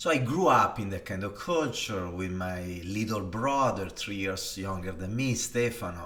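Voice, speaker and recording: A man with an Italian accent and a fairly low pitch speaks at a moderate pace with hardly any pauses, his tone bright and sharp, with ordinary pitch variation and audible room echo. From northern Italy, Varese. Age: 40s. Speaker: design executive. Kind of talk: personal storytelling monologue. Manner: hesitant, with many fillers.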